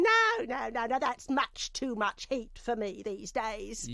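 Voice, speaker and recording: A female-sounding, put-on character voice, high-pitched, at a fairly slow pace over light background noise. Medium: video game. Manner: chatty, chuckling, folksy.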